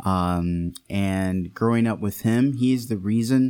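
A man with an American accent has a normal speaking voice at a fairly low pitch. He talks at a fairly slow pace with ordinary pitch variation. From Detroit area, Michigan. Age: 30s. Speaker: deacon and future priest. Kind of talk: casual interview with personal testimony.

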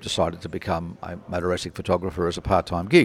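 Delivered at a fairly quick pace in an Australian accent, the speech has fairly even intonation on a very clean recording with a silent background. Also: man. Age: 80s+. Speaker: motorsport book publisher. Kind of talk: interview.

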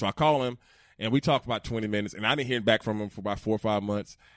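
Here a man talks very fast in an animated tone. He has a Southern US accent. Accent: Southern US (Georgia). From Georgia, US South. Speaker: former NFL player. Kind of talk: casual chat. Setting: studio.

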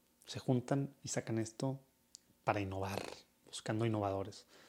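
Pitch varies in an ordinary way as the speaker talks at a moderate speed. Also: man. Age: 30s. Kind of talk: casual monologue.

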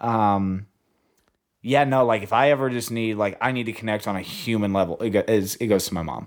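On a very clean recording with a silent background, a man with an unremarkable speaking voice and an American accent talks at a fairly quick pace, using a medium pitch with ordinary pitch variation. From US South, Arkansas (Hope). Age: 20s. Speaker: talent agency assistant. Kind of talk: casual chat.

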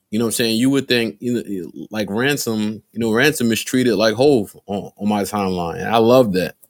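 A man with an American accent speaks at a moderate pace, his medium pitch showing ordinary variation, on a very clean recording with a silent background. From Newark, New Jersey. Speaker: rapper and producer. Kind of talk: casual chat.

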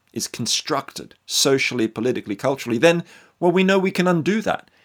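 A man at a moderate pace, fairly high in pitch, with very wide pitch swings, on a very clean recording with a silent background. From Australia. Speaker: author. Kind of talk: interview.

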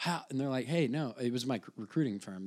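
The recording is very clean, with a silent background. A man with an American accent speaks at a very fast pace. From Southern Illinois (Shawneetown, near Kentucky border). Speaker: comedian. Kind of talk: casual chat.

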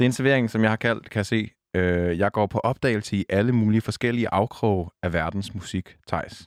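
A normal speaking voice, this man's is fairly low in pitch with ordinary variation, very even loudness, and hardly any pauses. The recording is very clean with a silent background and a dry, close sound with no echo. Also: moderate pace. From Denmark, south Zealand near Næstved. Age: 20s. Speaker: radio host. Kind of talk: casual chat.

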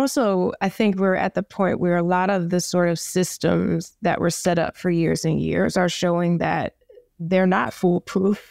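A woman with an American accent speaks in a plain, everyday voice at a fairly slow pace and a fairly low pitch, with fairly even intonation and very even loudness. The sound is dry and close with no echo, in a very clean recording with a silent background. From New York, the Bronx. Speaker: advertising executive. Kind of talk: interview.

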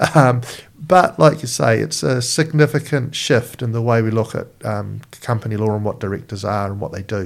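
A man speaks at a moderate pace with medium pitch, ordinary pitch variation and vocal fry. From southeast London, moved to New Zealand as child. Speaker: politician, member of parliament. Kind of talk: interview conversation.

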